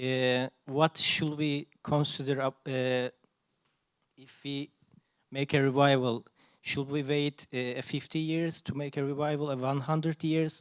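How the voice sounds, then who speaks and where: With a non-native accent, this voice moves at a fairly slow pace in a monotone, flat intonation, broken by long, frequent pauses. Loudness swings widely, and the sound is dry and close with no echo. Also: man, fairly high pitch for a man. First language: not English. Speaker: audience member. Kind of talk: audience question. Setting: audience at a talk. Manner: halting.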